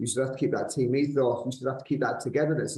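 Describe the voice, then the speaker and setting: A somewhat breathy male voice of medium pitch, dark and mellow in tone, with fairly even intonation. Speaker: podcast host. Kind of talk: interview host talk.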